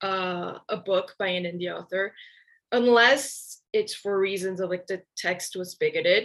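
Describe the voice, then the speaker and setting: Someone with a Portuguese accent speaks at a fairly slow pace, with fairly even intonation. The background is quiet. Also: woman. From Brazil. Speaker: book reviewer. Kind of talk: casual interview.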